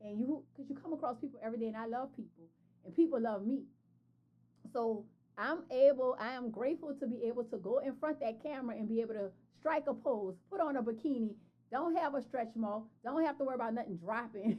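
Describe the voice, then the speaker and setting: Animated and very fast, this woman speaks with a high pitch. Her pitch variation is ordinary. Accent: New Orleans. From New Orleans, Louisiana. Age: 40s. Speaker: entrepreneur and fashion brand founder. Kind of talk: podcast interview.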